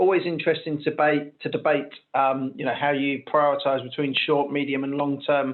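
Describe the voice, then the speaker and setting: A man with a fairly high voice talks at a moderate pace. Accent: British. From UK. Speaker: webinar host. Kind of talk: webinar panel discussion.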